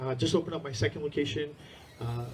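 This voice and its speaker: Noticeable background noise under a man's fairly even intonation. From India-born, raised in US from age six (New Jersey area). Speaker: martial arts school owner. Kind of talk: conference talk. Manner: casual, filler-heavy.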